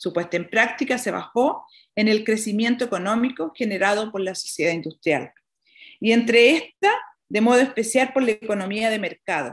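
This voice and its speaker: Against a quiet background, a woman with a Chilean accent talks at a moderate pace in a fairly high pitch with ordinary pitch variation. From Chile, rural Colchagua Valley. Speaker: nun and prison chaplain. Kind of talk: conference talk. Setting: video call from a small prison dining room. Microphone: webcam.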